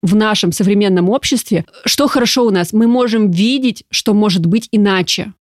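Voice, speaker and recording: The voice is animated, with ordinary pitch variation and very even loudness at a moderate pace. The sound is dry and close, with no echo. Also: woman, fairly high pitch for a woman. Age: 30s. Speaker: coach and brain researcher. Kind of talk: casual chat.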